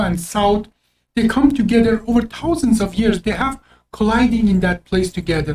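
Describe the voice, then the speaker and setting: A woman with an Azerbaijani accent speaks at a fairly high pitch with ordinary pitch variation. Her dark, mellow tone is somewhat breathy. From Azerbaijani background. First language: Azeri Turkish. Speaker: doctor, podcast co-host. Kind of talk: casual chat. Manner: halting.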